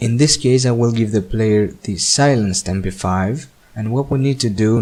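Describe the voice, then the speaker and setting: With a non-native accent, a man talks at a fairly slow pace in a medium pitch, his pitch varying in an ordinary way. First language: not English. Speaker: game mapping tutorial maker. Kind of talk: screen-recorded software tutorial narration.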